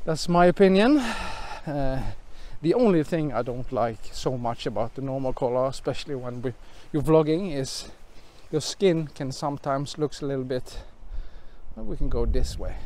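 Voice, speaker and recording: A man with a fairly high pitch and a dark, mellow tone speaks at a moderate pace. He leaves long, frequent pauses, and his pitch varies in an ordinary way. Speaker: YouTube vlogger and gear reviewer. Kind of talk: vlog with equipment test. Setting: outdoors, hiking in windy forest.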